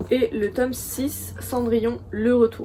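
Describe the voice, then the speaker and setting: This woman's voice sits fairly high, with a dark, mellow tone. Vocal fry runs through her speech. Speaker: book youtuber. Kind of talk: casual chat. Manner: hesitant, many fillers.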